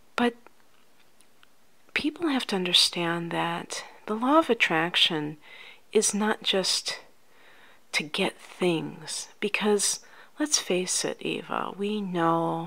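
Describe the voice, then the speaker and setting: A soft-spoken woman talks very slowly with long, frequent pauses and lively intonation. Her tone is bright and sharp, yet gentle and soothing. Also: medium pitch for a woman. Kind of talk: ASMR life coach roleplay, softly spoken. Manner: soft-spoken, gentle, soothing.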